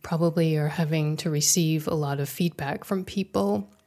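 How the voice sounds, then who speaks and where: On a very clean recording with a silent background, a plain, everyday voice shows ordinary pitch variation. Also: woman. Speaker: podcast host and interviewer. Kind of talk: interview.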